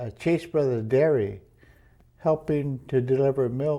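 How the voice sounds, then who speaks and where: With a dark, mellow tone and ordinary pitch variation, a man talks at a medium pitch on a very clean recording with a silent background. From Oxnard, California, US. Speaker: internment survivor. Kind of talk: oral history interview. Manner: halting.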